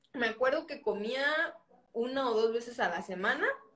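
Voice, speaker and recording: A woman talks at a fairly slow pace in an ordinary speaking voice. Her pitch variation is ordinary. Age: 20s. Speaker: podcast host. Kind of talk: casual interview chat.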